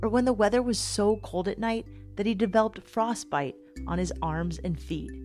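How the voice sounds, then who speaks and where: Music sounds in the background. Over it, a woman talks at a moderate pace. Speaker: podcast host. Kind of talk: podcast narration.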